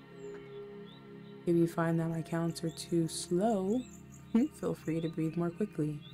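Over music in the background, a woman with a fairly low pitch speaks very slowly in a calm, soothing tone with fairly even intonation. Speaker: self love coach, meditation guide. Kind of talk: guided meditation narration. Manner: calm, slow, soothing.

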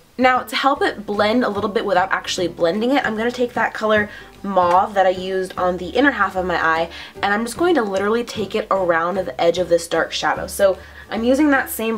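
Music plays in the background. A woman speaks very fast with ordinary pitch variation. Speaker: beauty vlogger. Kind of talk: makeup tutorial talk to camera. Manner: casual, chatty.

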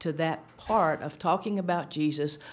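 A woman's very deep, low voice. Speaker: speaker. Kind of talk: sermon-style talk with storytelling. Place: meeting room. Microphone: podium.

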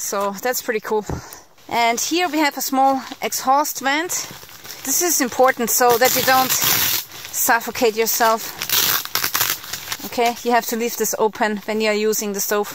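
Loud background noise, a fairly slow pace with long, frequent pauses, and a dry sound with no echo. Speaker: outdoor gear reviewer. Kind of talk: tutorial. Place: forest. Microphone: phone near.

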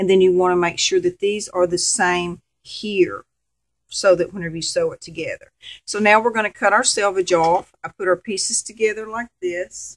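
Woman with a Southern US accent at a moderate pace, big swings in loudness, quiet background. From Arkansas, US. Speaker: sewing volunteer coordinator. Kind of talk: sewing tutorial. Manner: casual, friendly. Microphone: camera far.

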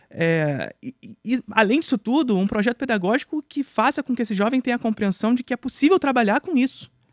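Recorded dry with no echo over a quiet background, a man talks at a fairly quick pace with lively intonation. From Brazil. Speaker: film and history teacher; history teacher. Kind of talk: casual chat. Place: studio. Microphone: studio mic.

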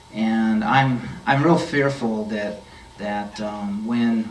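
A man's voice with fairly even intonation, light background noise and audible room echo. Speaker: candidate. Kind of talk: interview answer. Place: meeting room.

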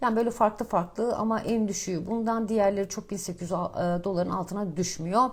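A woman speaks at a moderate pace with hardly any pauses. Her medium-pitched voice is somewhat breathy, with fairly even intonation. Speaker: financial markets commentator. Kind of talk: market commentary monologue. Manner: casual, many filler hesitations.

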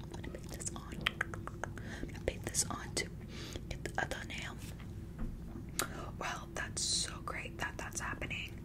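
Over loud background noise, a soft-spoken woman talks with long, frequent pauses. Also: moderate pace. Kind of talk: playful roleplay chat to viewer. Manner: soft ASMR talk, slightly catty. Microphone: phone near.

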